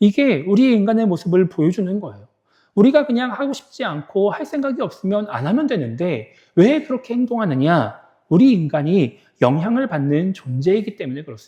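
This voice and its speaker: Against a quiet background, a man with a high, dark and mellow voice speaks fairly quickly, with big swings in loudness and very wide pitch swings. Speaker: pastor. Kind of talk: sermon. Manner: conversational.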